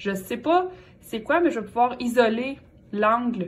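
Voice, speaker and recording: With a Quebec accent, a woman speaks in very wide pitch swings amid audible room echo. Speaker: math teacher. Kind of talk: lecture.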